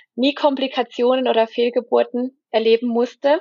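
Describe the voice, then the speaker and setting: At a moderate pace, a woman talks in a high-pitched voice with monotone, flat intonation. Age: 20s. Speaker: pregnant mother, course graduate. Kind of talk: personal testimony in interview.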